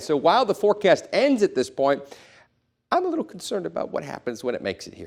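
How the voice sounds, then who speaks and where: This man is heard on a very clean recording against a silent background. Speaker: broadcast meteorologist. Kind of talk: TV weather banter and forecast.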